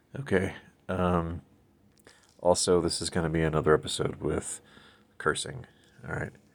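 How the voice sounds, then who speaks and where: Quiet and very deep, a man's low-pitched voice moves at a moderate pace with long, frequent pauses and ordinary pitch variation. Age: 50s. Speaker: solo podcast host. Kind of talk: casual monologue. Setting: recording alone late at night. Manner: quiet, low volume.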